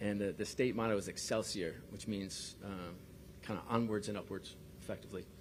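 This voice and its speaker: Heard with audible room echo, a man with an American accent speaks at a fairly low pitch with fairly even intonation. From New York. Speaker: sports league executive. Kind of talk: press conference. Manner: halting, many fillers and repeats.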